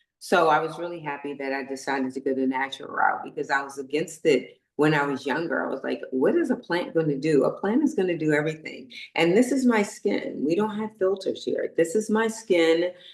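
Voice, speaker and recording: Animated and fairly quick, a woman speaks at a fairly low pitch with lively intonation. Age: 60s. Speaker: pageant winner and skincare entrepreneur. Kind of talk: podcast interview.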